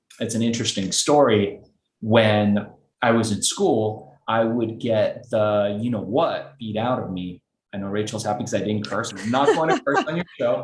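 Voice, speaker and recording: With audible room echo, a man talks at a medium pitch. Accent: Los Angeles. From Iran, raised in Los Angeles. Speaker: entrepreneur. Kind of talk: interview.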